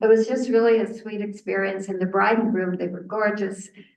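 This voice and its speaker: A woman talks at a fairly quick pace with fairly even intonation. Noticeable background noise and audible room echo surround her voice. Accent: Canadian. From Canada, southern Ontario. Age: 80s+. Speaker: researcher and author. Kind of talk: lecture. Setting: seated presentation with audience. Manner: conversational, with false starts.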